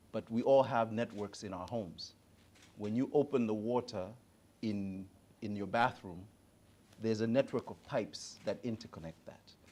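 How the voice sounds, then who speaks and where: A man's medium-pitched voice with an East African accent, dark and mellow in tone, at a moderate pace with long, frequent pauses, ordinary pitch variation and big swings in loudness. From Tanzania. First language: Swahili. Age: 40s. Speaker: digital advisor. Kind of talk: panel conversation.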